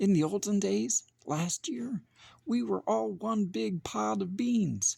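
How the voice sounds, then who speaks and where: Very slowly the words come, on a very clean recording against a silent background. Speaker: children's book reader, parent. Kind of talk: children's picture book read-aloud.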